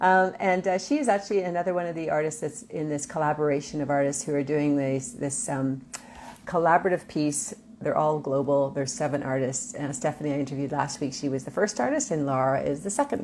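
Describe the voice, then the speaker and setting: Speaking very fast, a woman uses lively intonation. She has a Canadian accent and a very deep, low pitch. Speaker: artist and interview show host. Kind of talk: casual interview.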